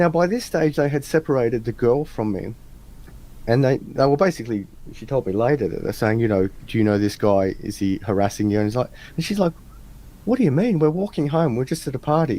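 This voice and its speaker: With an Australian accent, a man speaks at a fairly quick pace in a dark, mellow tone with lively intonation. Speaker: interview guest. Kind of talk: casual interview chat. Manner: animated storytelling.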